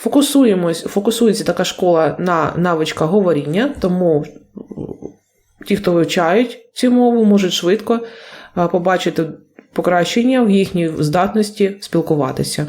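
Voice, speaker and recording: Here is a woman with a medium pitch. Her pitch varies in an ordinary way. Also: moderate pace, very even loudness. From Ukraine. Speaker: English teacher. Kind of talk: video lesson. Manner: halting, with self-corrections.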